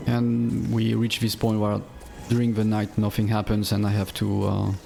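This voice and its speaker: Over music in the background, a man speaks in a fairly low pitch with monotone, flat intonation. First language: not English. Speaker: game streamer. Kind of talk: gameplay commentary. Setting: live stream. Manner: halting, many fillers and repeats.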